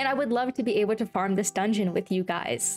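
A woman's voice with ordinary pitch variation and light background noise. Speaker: gaming youtuber. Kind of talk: casual vlog chat. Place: home room.

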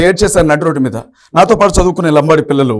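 A man speaks with lively intonation. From Telangana, Khammam. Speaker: pastor. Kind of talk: interview testimony. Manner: insistent.

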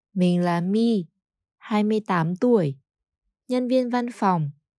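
A woman talks very slowly in a dark, mellow tone with lively intonation. The sound is dry and close, without echo. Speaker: Vietnamese language teacher. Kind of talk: scripted narration.

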